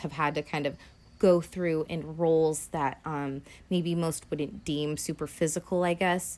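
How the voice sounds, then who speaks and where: On a very clean recording with a silent background, a woman with a plain, everyday voice and fairly low pitch talks at a fairly slow pace with ordinary pitch variation. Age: 30s. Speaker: podcast host. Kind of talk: solo casual commentary. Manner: casual with frequent fillers.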